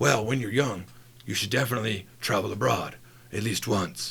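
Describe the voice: A raspy, put-on character voice at a moderate pace. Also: man, fairly low pitch for a man.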